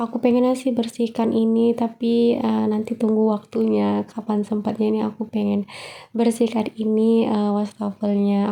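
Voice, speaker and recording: Her fairly high pitch pairs with a dark, mellow tone as a woman speaks. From Medan, North Sumatra. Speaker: housewife vlogger. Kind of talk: vlog voiceover narration. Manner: casual, with frequent fillers.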